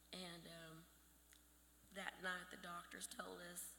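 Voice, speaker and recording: Audible room echo surrounds a woman's voice. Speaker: bereaved mother, honoree. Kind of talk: acceptance speech. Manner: halting.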